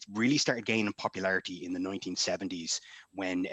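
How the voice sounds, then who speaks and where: The man's very deep, low voice carries a bright, sharp tone and fairly even intonation. The sound is dry and close, with no echo. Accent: Irish. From Ireland. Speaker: author and former army reservist. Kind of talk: convention panel discussion. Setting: live-streamed online panel.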